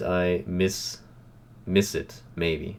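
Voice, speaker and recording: A man speaks with a German accent in a flat, monotone delivery. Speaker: reaction youtuber. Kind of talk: casual video commentary. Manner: halting, with many fillers.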